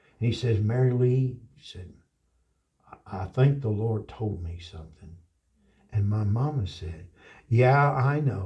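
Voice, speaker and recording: A man's somewhat breathy, dark and mellow voice with an American accent and long, frequent pauses. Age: 60s. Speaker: pastor. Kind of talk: interview storytelling. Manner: animated; halting.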